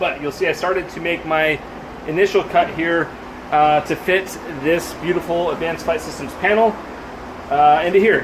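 A man talks with a high pitch and fairly even intonation. Background noise is noticeable. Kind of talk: casual vlog chat. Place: garage. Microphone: phone near.

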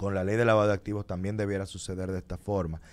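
Here a man is speaking. His pitch is fairly low. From Dominican Republic. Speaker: lawyer. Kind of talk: radio interview. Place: studio. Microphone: studio mic.

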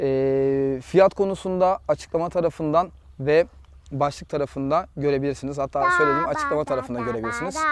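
Over light background noise, a man talks at a fairly quick pace in a fairly high pitch, with ordinary pitch variation and a dry sound with no echo. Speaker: real estate agent; property seller. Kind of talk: property tour video. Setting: outdoors. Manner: animated. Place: garden.

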